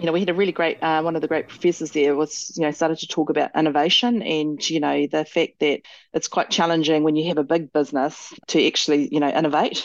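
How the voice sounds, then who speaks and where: With a New Zealand accent, a woman talks at a very fast pace in a fairly low pitch and very even loudness. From New Zealand (Māori, Tauranga and Motueka). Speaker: company director and general manager. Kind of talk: interview. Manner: hesitant fillers.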